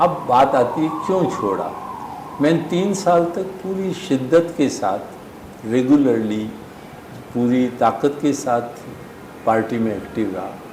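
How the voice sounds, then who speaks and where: A man speaks at a fairly high pitch with lively intonation, pausing long and often. Room echo is audible, and background noise is noticeable. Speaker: pulmonologist. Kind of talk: interview. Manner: halting.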